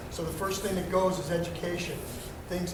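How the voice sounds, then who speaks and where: Loud and high-pitched for a man, his voice carries audible room echo over noticeable background noise. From Baltimore. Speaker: car dealership owner and high school football coach. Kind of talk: speech to students. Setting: school assembly, no microphone. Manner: halting, many fillers.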